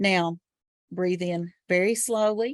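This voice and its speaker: A woman's voice with ordinary pitch variation, dry and close with no echo, over a quiet background. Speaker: trainer. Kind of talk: guided relaxation exercise.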